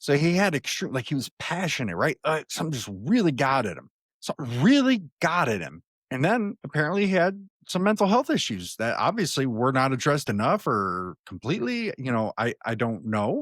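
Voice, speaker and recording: In a very clean, dry, close recording with a silent background and no echo, a man speaks fairly quickly at a fairly high pitch with very wide swings. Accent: American. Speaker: political commentary podcast host. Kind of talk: solo news commentary. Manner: halting, many fillers and repeats; conversational.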